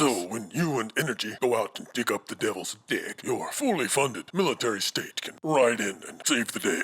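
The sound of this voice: A man puts on a cartoonish character voice. He talks at a fairly quick pace.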